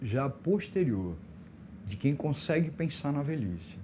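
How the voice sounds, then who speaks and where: A man's dark, mellow voice sits at a fairly high pitch and is somewhat breathy. He goes at a fairly slow pace with very wide pitch swings. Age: 60s. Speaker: LGBT elder rights activist. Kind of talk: podcast interview.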